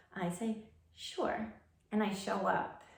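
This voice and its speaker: A woman speaks in a monotone, flat intonation amid noticeable background noise and audible room echo. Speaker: tai chi practitioner teaching movements. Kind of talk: tutorial. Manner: halting.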